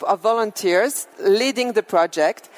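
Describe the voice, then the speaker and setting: With a French accent, a woman speaks at a fairly slow pace in a fairly high pitch. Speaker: business executive. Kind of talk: keynote speech.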